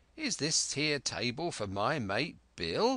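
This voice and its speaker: In a put-on character voice, raspy and fairly slow, the speaker swings very widely in pitch against a quiet background. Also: man, fairly high pitch for a man. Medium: read story. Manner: leering, sly.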